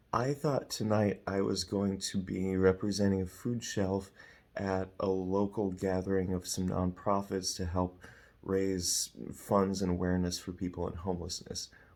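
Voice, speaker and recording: A quiet man's voice, very deep and low, in monotone, flat intonation, on a very clean recording with a silent background. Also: moderate pace. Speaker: evangelist. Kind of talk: personal vlog story.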